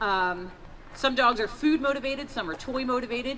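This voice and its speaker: Raised and projected, a bright, sharp voice moves at a fairly quick pace. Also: woman. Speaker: police canine handler. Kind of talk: live demonstration. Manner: loud.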